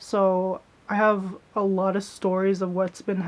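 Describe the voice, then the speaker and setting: A woman speaks in a soft-spoken way. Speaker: YouTuber, vlogger. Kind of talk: casual vlog chat.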